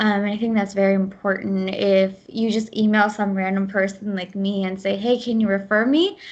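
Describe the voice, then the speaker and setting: Over a quiet background, a woman with a Midwestern US accent speaks at a moderate pace in a monotone, flat intonation with hardly any pauses. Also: medium pitch for a woman. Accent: US Midwest. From US Midwest, Ohio. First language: Gujarati. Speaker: program manager. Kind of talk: podcast interview.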